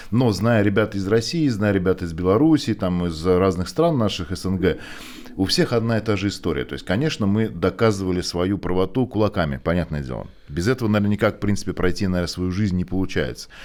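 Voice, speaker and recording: A man speaks fairly quickly in a very deep, low voice with lively intonation. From Turkmenistan, Ashgabat. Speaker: podcast host. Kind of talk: casual conversation.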